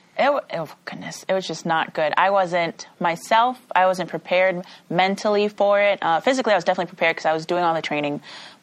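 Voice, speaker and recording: A woman with an American accent talks at a very fast pace at a medium pitch, with hardly any pauses. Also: ordinary pitch variation. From Chicago. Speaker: college track athlete. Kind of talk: interview.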